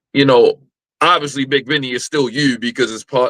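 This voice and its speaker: A man speaks at a medium pitch in a bright, sharp tone with fairly even intonation, and the sound is dry and close with no echo. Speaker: podcast host. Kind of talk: casual interview chat.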